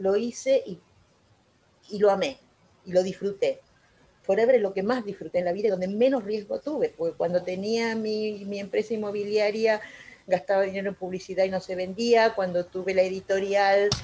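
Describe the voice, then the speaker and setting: A woman speaks at a medium pitch and a moderate pace. Her tone is dark and mellow. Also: fairly even intonation. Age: 70s. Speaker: network marketing distributor. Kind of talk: testimony.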